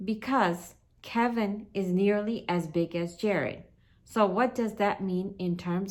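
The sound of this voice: The reading voice here is unforced.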